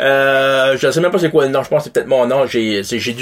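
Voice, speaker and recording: A man with a fairly high voice speaks over noticeable background noise. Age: 40s. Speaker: podcast guest. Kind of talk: casual chat.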